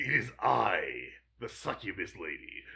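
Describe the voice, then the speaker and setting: This is a put-on character voice with a raspy quality. The pace is moderate. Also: man. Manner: theatrical, mocking.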